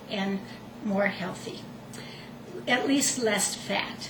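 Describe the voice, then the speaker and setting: Over noticeable background noise and audible room echo, a woman speaks at a very slow pace with ordinary pitch variation. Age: 60s. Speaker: retired nurse, home cook. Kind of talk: cooking demonstration. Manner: conversational, slightly halting.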